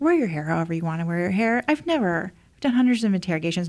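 A woman's medium-pitched voice with a Midwestern US accent and lively intonation. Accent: US Midwest. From Indiana, small town. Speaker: former federal agent and safety speaker. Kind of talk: interview.

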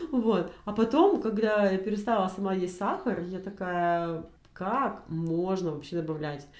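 Audible room echo surrounds a woman speaking at a fairly slow pace. Her pitch is medium, with ordinary variation. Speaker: podcast co-host. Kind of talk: casual chat. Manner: animated.

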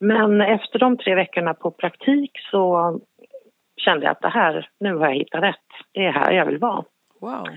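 With a plain, everyday voice, a woman speaks at a moderate pace in a medium pitch, her intonation lively. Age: 50s. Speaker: forensic psychiatric assistant nurse. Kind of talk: interview. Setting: phone call.

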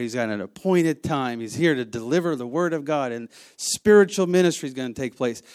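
On a very clean recording with a silent background, a man with an American accent talks at medium pitch with ordinary pitch variation. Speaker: church minister. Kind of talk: sermon.

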